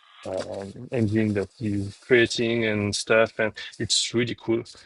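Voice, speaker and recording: A man with a French accent speaks at a very slow pace with a medium pitch. His intonation is fairly even, and the sound is dry and close with no echo. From France. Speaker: game publisher. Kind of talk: live stream while packing orders. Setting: live stream, alone at work. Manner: casual, halting.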